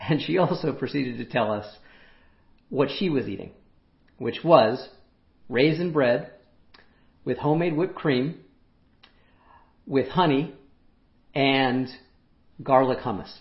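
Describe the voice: A man speaks slowly in a raspy voice with vocal fry, leaving long, frequent pauses, and room echo is audible. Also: medium pitch for a man, ordinary pitch variation.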